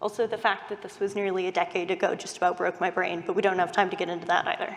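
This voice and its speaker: Here a woman speaks with a Californian accent. Her pace is very fast. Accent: Californian American. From US West Coast, Silicon Valley. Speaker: UX researcher. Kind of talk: conference talk.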